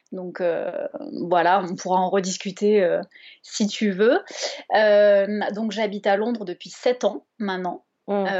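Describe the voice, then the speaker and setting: Speaking at a very slow pace, a woman keeps her intonation fairly even and leaves long, frequent pauses. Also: medium pitch for a woman. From France, Bordeaux. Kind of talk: casual interview chat.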